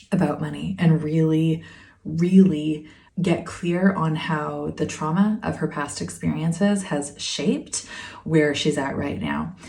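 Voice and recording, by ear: At a fairly slow pace, a woman speaks in a low pitch with a dark, mellow, calm and soothing tone, vocal fry and ordinary pitch variation, with audible room echo.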